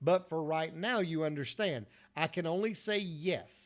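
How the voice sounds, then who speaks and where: A man with a Southern US accent, fairly high-pitched for a man, at a fairly slow pace, on a very clean recording with a silent background. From US South, North Carolina. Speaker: motivational speaker. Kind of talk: motivational talk. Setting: solo video recording after failed livestream.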